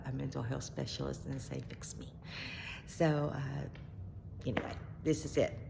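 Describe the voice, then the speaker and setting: A woman with a Southern US accent, with audible room echo. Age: 60s. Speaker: mental health vlogger. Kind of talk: personal video diary. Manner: halting, many fillers and restarts; rambling, jumps between topics.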